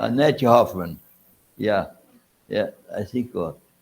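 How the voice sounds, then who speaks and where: With a Brazilian Portuguese accent, a man speaks with vocal fry and very wide pitch swings. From Brazil, Goiás. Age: 80s+. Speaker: physiology professor. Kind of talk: reminiscence at an honorary symposium. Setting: auditorium with audience. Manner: halting.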